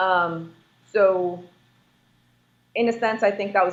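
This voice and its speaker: Her voice sits at a medium pitch. This woman keeps her intonation fairly even. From immigrant family, moved to US as child. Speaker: real estate investor. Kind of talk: interview.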